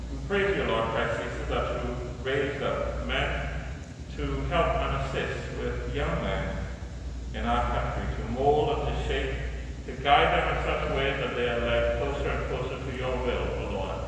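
A man speaks at a moderate pace in a room with strong echo and noticeable background noise. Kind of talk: prayer. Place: church. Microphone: camera far.

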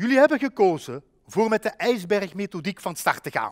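Speaking with a Limburg accent, a man with a high pitch uses lively intonation at a fairly slow pace, recorded dry and close with no echo. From Belgian Limburg. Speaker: educational adviser. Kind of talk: webinar presentation. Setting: online webinar.

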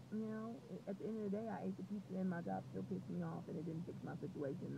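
Over noticeable background noise, a woman speaks at a fairly quick pace, the sound dry with no echo. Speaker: vlogger. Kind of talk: casual vlog chat. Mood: reflective, determined. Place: car. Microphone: earbuds.

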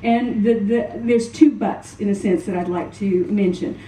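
A woman speaks in an American accent at a moderate pace. Audible room echo and light background noise surround her voice. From US South, New Orleans. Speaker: psychology professor and researcher. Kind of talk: conference presentation. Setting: stage with audience. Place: hall. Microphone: podium.

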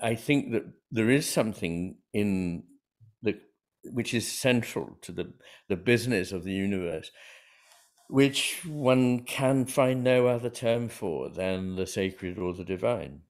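A man with a British accent speaks at a fairly slow pace with a medium pitch and ordinary pitch variation against a quiet background. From England. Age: 60s. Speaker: psychiatrist and author; interview guest. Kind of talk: interview conversation. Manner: measured, hesitant with frequent fillers. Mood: calm, reflective. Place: home room.

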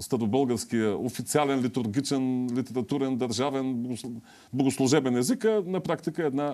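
A man talks at a moderate pace with a dark, mellow tone. His pitch sits in the medium range. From Bulgaria. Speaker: TV host and academic; TV show host. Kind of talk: TV talk show interview. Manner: halting, with filler sounds. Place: studio. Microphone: lapel.

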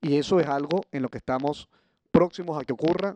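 The man's intonation stays fairly even as he speaks at a moderate pace, the sound dry with no echo and the background quiet. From Venezuela. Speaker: opposition politician. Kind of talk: panel speech. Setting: conference stage with audience. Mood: earnest, grave. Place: stage. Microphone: podium.

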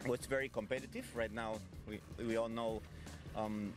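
A man's voice, dry with no echo, over background music. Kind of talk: interview answer. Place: boat. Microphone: handheld.

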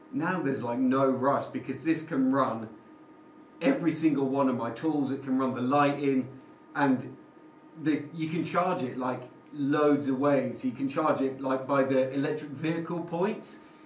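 A man speaks at a moderate pace with fairly even intonation. Audible room echo and light background noise surround his voice. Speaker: renovation vlogger. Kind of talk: casual vlog chat. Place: empty room. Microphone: camera far.

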